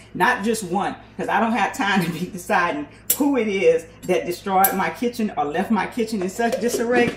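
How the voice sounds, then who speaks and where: A woman's medium-pitched voice at a moderate pace, over noticeable background noise. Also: ordinary pitch variation. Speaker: small business owner making hair and skin products. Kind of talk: casual kitchen tutorial vlog. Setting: home kitchen.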